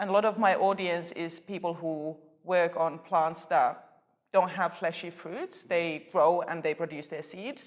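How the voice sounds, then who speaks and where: The delivery is fairly slow, with fairly even intonation. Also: woman, fairly low pitch for a woman. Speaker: postdoctoral plant researcher. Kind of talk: interview. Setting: conference.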